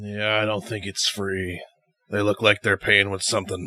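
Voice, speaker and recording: A man puts on a character voice at a fairly low pitch. His pace is moderate and his intonation monotone and flat. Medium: actual play. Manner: gruff, blunt.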